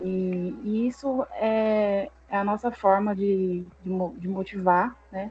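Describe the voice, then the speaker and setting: A woman with a Brazilian accent, somewhat breathy, at a very slow pace with hardly any pauses. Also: medium pitch for a woman, fairly even intonation. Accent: Brazilian accent, noticeable. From interior of São Paulo state, Brazil. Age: 30s. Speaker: esports team organizer. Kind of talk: podcast interview. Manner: hesitant, many repetitions.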